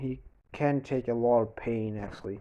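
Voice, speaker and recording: Speaking with a Danish accent, a man has a dark, mellow tone. His pace is moderate. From Denmark. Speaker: YouTuber. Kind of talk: storytelling fan fiction narration. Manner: halting, many false starts.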